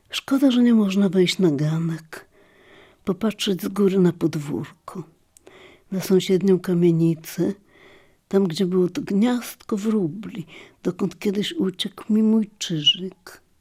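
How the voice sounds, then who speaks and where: A very slow, somewhat breathy woman's voice at medium pitch with ordinary pitch variation, in a very clean recording with a silent background. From Lviv, formerly eastern Poland (now Ukraine). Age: old. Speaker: memoirist. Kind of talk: scripted narration.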